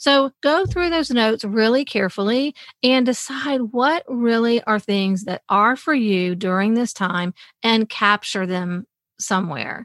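On a very clean recording with a silent background and a dry, close sound with no echo, a woman with a fairly high pitch speaks at a fairly slow pace with lively intonation. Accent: Mississippi. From US South, Mississippi. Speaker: author and accountability coach. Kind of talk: casual interview.

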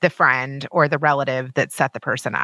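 The woman's tone is bright and sharp. The recording is very clean, with a silent background. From Kentucky. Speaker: TV producer and podcast host. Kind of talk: interview, casual chat.

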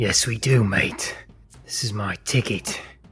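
A man speaks in a put-on character voice at a medium pitch. His pace is fairly slow. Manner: speaking through gritted teeth.

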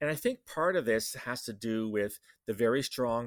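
A man with a Canadian accent has an ordinary speaking voice at medium pitch, with lively intonation. The sound is dry and close with no echo, and the recording is very clean over a silent background. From Canada. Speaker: security consultant and podcast host. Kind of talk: solo podcast commentary. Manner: casual with fillers and laughs.

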